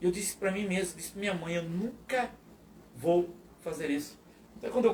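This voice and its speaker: Over noticeable background noise, a man with a high voice talks at a moderate pace with ordinary pitch variation. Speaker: pastor. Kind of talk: testimony. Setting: live podcast.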